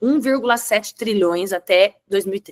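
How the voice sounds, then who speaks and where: Here a woman with a fairly high pitch speaks at a moderate pace in an unremarkable speaking voice. The sound is dry and close, with no echo. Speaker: webinar presenter on digital content. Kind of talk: webinar presentation.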